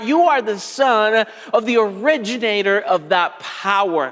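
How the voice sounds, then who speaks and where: A man with a Spanish accent at a very slow pace, ordinary pitch variation, noticeable background noise. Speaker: pastor. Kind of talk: sermon.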